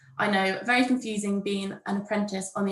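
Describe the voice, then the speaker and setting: The speaker is a woman. She talks with a southern English accent. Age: 20s. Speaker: university administrator, former apprentice. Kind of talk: prepared talk at a workshop. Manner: read from a script.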